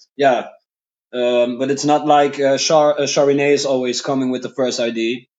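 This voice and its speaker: A man's medium-pitched voice with a Dutch accent and monotone, flat intonation. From Netherlands. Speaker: rock drummer. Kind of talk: interview. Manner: halting.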